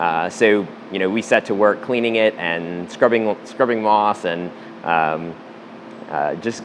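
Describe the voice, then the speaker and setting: A man with an American accent, fairly low in pitch, with ordinary pitch variation and noticeable background noise. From US Midwest, St. Louis, Missouri. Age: 30s. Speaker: rock climber. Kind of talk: interview monologue, storytelling. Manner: halting, many fillers.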